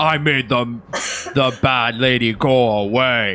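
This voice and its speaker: Putting on a character voice, a man speaks at a medium pitch. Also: fairly slow pace. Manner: loud and confident, proclaiming.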